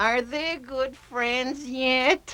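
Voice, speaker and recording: Cartoonish character voice, female-sounding, at a high pitch. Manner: easygoing, slightly dopey.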